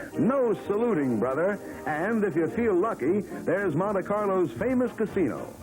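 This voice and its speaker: This man's voice sits high in pitch and moves with lively intonation. His loudness stays very even throughout. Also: moderate pace. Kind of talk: 1940s newsreel narration, humorous. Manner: wisecracking, jokey.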